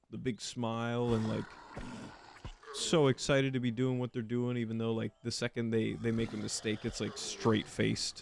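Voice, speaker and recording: Monotone, flat intonation from a man, medium in pitch and moderate in pace. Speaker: gaming youtuber. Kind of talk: gameplay commentary. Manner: flat, deadpan.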